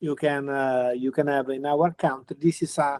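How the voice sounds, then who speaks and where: A man with an Italian accent speaks at a fairly slow pace. The sound is dry with no echo, over a quiet background. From Italy. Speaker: physicist, university professor; university professor. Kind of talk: lecture. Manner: halting. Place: home room. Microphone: video call.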